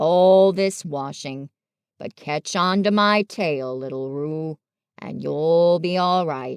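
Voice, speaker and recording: Putting on a character voice, a woman rumbles at a very slow pace in a fairly low pitch. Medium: read story. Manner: grumbling, gloomy, dry.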